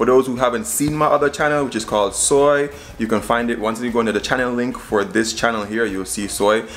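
At a fairly quick pace with hardly any pauses, a man talks with ordinary pitch variation against light background noise. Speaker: cooking vlogger. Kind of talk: casual vlog chat. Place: kitchen. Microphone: phone near.

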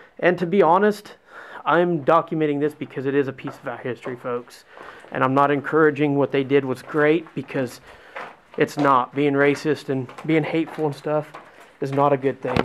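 With fairly even intonation and a moderate pace, a man talks while light background noise runs underneath. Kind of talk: casual vlog tour commentary. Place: tunnel cave. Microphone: phone near.

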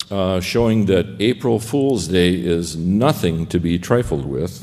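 The tone is dark and mellow against a quiet background. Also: man. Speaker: conference panelist. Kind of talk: lecture. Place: hall. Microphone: podium.

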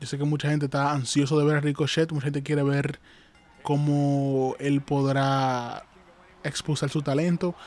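The sound is dry with no echo as a man talks fairly slowly at a fairly high pitch. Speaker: wrestling commentator and YouTuber. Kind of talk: wrestling commentary. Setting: live stream. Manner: repetitive, pitching viewers to like and subscribe. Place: home room.

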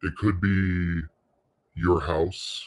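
Against a quiet background, a man with a very deep, low pitch speaks in a somewhat breathy, soothing, calm tone. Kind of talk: guided meditation. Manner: slow, soothing, calm and gently paced.

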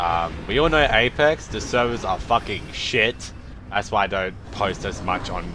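A man speaks at a fairly slow pace in a fairly low pitch, with noticeable background noise behind him. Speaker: gaming content creator. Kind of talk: gameplay commentary. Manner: casual, filler-heavy; excitable.

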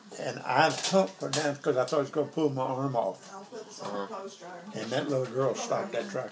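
Lively intonation from a man with an American accent, amid noticeable background noise. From Arkansas. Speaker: grandfather telling a story. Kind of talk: storytelling. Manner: casual, conversational. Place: kitchen. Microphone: phone near.

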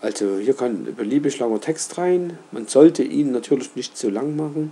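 A man talks with lively intonation, keeping a fairly slow pace. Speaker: roofer, company owner. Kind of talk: screen-recorded website tutorial. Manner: casual, hesitant, with filler sounds.

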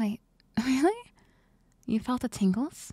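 Soft-spoken at a fairly slow pace, the voice comes through in a dry sound with no echo over a quiet background. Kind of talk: soft-spoken ASMR roleplay. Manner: soft, intimate ASMR girlfriend voice.

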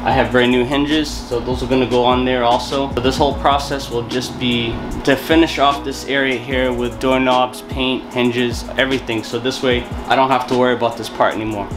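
A man's fairly quick delivery with fairly even intonation over clear music in the background. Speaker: DIY vlogger. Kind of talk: casual vlog chat. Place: home room. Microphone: phone near.

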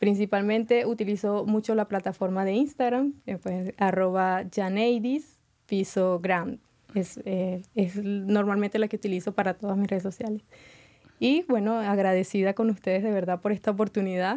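A woman speaks at a moderate pace with medium pitch, a dark, mellow tone and fairly even intonation against a quiet background. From Venezuela. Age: 20s. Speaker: beauty pageant contestant; guest. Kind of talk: interview. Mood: friendly, positive. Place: studio. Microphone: studio mic.

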